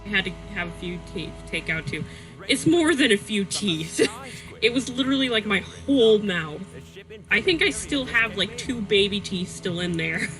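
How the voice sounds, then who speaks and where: Music plays in the background while the talking proceeds at a moderate pace. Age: 20s. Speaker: gaming streamer. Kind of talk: casual live-stream chat. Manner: halting, many fillers.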